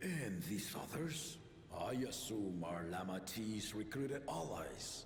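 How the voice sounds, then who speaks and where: A man's put-on character voice at a fairly low pitch and fairly slow pace, with clear background noise and a slight echo. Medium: video game. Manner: commanding, formal.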